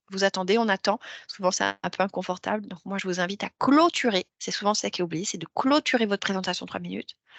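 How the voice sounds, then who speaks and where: Her voice sits at a medium pitch for a woman and shows ordinary pitch variation. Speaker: career coach. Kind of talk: workshop talk. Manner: hesitant fillers.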